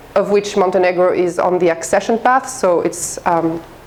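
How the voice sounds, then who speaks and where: There is clearly audible noise in the background. Over it, a woman talks fairly quickly. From France and Greece. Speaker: head of an international human rights office. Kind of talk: guest lecture. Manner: fast.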